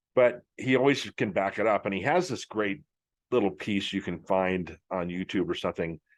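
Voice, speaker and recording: Recorded dry and close with no echo against a quiet background, a man with an unremarkable speaking voice talks at a moderate pace, his fairly low pitch showing ordinary variation. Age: 60s. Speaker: podcast host. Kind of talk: casual monologue. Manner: conversational, many fillers.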